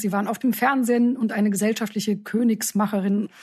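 At a very fast pace, a woman speaks with a fairly high pitch, a somewhat breathy, dark, mellow tone, and monotone, flat intonation. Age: middle-aged. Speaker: podcast host, news editor-in-chief. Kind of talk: interview.

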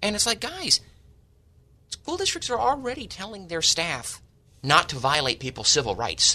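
With an American accent, a man speaks at a moderate pace and leaves long, frequent pauses. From San Diego, California. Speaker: school board member. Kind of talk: radio talk show discussion. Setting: studio.

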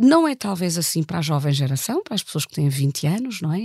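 Recorded with a dry, close sound with no echo, a woman speaks in a plain, everyday voice at a fairly low pitch. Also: very clean recording, silent background. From Germany. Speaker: political science professor. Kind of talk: analytical interview.

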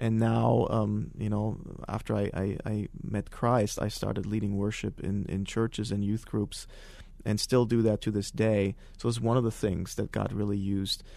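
A man with a German accent, at a moderate pace. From Germany (countryside). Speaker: former extremist giving testimony. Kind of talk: testimony interview. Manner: halting, many fillers.

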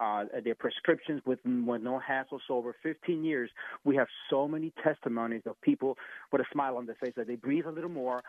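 Moving at a fairly quick pace, a man with a normal speaking voice keeps a medium pitch and ordinary pitch variation. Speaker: licensed Medicare insurance agent. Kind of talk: sponsored segment pitching Medicare enrollment help. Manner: eager, polite.

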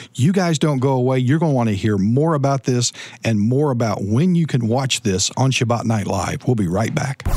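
A man talks at a moderate pace with hardly any pauses, in an ordinary speaking voice. His pitch is medium and his loudness very even. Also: ordinary pitch variation. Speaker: radio host. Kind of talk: radio show hosting. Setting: studio.

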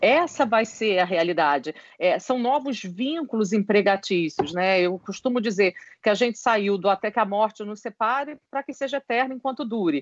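Moderate pace, lively intonation, and a plain, everyday voice. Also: woman, fairly high pitch for a woman. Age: 50s. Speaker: HR consultant and psychologist. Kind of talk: interview.

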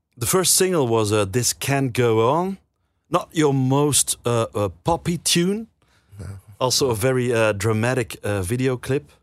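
In a Dutch accent, a man speaks fairly slowly at a medium pitch with lively intonation, the sound dry and close with no echo and the background silent on a very clean recording. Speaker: radio host. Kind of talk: casual chat. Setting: studio. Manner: halting.

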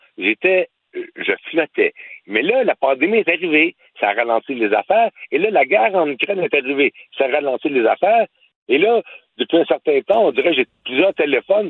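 Pausing long and often, a man talks at a moderate pace. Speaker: actor and former boxer. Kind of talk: radio interview. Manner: halting.

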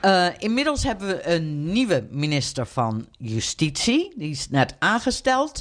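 The delivery moves at a fairly slow pace with hardly any pauses. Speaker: podcast co-host, US correspondent. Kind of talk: casual chat.

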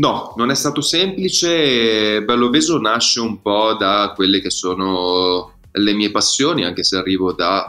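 A man talks in a fairly low pitch while music plays behind him. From Milan, northern Italy. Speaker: startup founder and barbershop owner. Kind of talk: interview. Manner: halting, with fillers and repetitions.

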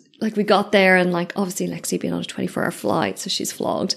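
A woman speaks in an Irish accent. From Ireland. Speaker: podcast host and business mentor. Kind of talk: casual solo reflection. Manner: animated.

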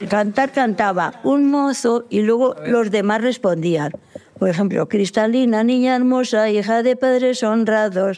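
A woman's fairly high voice is heard with noticeable background noise around it. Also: ordinary pitch variation, fairly slow pace, very even loudness. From rural Guadalajara, Spain. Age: 80s+. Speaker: elderly villager. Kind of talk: interview.

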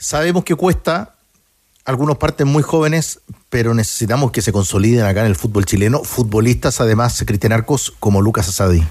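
A man with a plain, everyday voice at medium pitch talks at a fairly quick pace, with lively intonation and very even loudness. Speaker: sports radio host. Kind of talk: radio sports talk show.

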